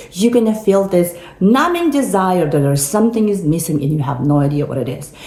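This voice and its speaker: A woman with a non-native accent talks at a fairly quick pace in a medium pitch with very wide pitch swings, amid audible room echo and noticeable background noise. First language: not English. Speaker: motivational speaker. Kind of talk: motivational talk. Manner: animated.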